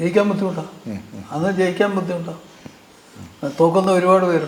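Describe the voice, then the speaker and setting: Over noticeable background noise, a man speaks with a high pitch and monotone, flat intonation. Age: 80s+. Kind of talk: family interview, childhood reminiscence.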